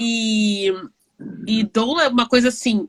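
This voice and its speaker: At a fairly slow pace, a woman in a normal speaking voice with medium pitch comes through dry and close, with no echo. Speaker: online talk show host. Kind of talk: casual interview chat. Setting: live video stream.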